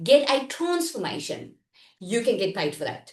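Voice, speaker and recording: In an animated tone, a woman talks with very wide pitch swings. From South Africa. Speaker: online business coach. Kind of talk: live online workshop. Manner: loud.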